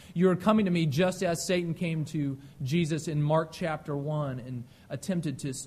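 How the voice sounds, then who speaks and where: His voice is somewhat breathy, with a dark, mellow tone and ordinary pitch variation. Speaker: pastor. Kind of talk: sermon. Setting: church. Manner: fast.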